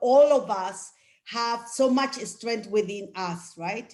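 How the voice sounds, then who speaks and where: The speaker goes very slowly, with ordinary pitch variation. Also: woman. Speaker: county government director. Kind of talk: panel discussion.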